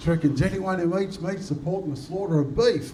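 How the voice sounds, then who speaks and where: Over noticeable background noise and audible room echo, a man with an Australian accent talks at a very fast pace in a high pitch. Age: 50s. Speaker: comedian. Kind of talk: stand-up.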